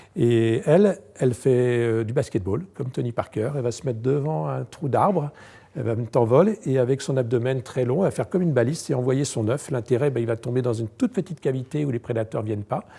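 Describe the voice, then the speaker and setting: A man speaks very fast at a medium pitch, with lively intonation and a somewhat breathy, dark, mellow tone. The recording is very clean with a silent background. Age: 60s. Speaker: entomologist. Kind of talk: guided tour. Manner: hesitant, many fillers.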